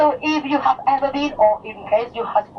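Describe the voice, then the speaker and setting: Against noticeable background noise, a woman with a Mallorcan accent speaks at a fairly high pitch with very wide pitch swings. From Mallorca, Spain (Palma). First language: Mallorquin Catalan / Spanish. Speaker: tour guide. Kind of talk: guided tour commentary. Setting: on a tour bus. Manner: halting, many fillers and restarts; enthusiastic, talkative.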